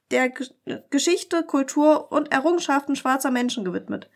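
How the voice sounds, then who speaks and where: A woman speaks in a high voice with ordinary pitch variation. The recording is very clean, with a silent background. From Germany, near Dresden (Saxony). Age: 30s. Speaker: podcast co-host, local politician. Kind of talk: casual political chat.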